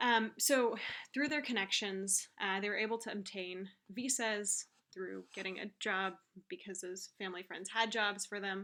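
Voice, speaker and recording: Speaking with a Californian accent, a woman has a bright, sharp tone at a medium pitch. Her pace is moderate and her pitch varies in an ordinary way. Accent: General American, California. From US West Coast, Silicon Valley. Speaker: teacher. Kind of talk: reading aloud. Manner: hesitant, many fillers.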